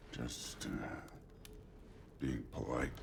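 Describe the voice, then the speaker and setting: A man puts on a character voice while loud noise fills the background. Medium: video game. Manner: gruff, blunt.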